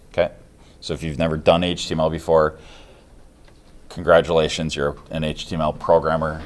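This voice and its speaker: Vocal fry in a man's very deep, low-pitched speech. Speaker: instructor. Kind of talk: lecture. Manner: fast; casual, many fillers.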